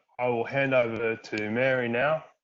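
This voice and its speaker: Fairly even intonation from a man with an Australian accent. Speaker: workshop co-chair. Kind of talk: virtual workshop presentation. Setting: video call. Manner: monotone.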